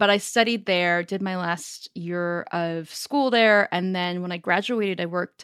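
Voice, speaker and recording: A woman with a Northern California accent speaks at medium pitch with ordinary pitch variation. She talks at a fairly slow pace. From US, Northern California (Silicon Valley). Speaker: startup founder and CEO. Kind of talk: interview. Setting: remote call.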